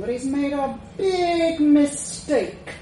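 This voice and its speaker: A woman growls in a put-on character voice. Light background noise and a slight echo come through. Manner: snarling, menacing, sarcastic.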